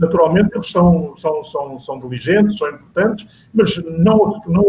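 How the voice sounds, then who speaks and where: The intonation is lively. The speech moves at a moderate pace. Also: man. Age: 70s. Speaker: panel guest on local politics talk show. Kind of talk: panel discussion. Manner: halting, many repetitions.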